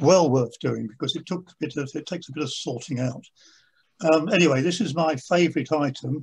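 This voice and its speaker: A man's voice sounds fairly high-pitched and somewhat breathy. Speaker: stamp collector. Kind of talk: lecture. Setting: video call. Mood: pleased, enthusiastic. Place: home room. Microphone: video call.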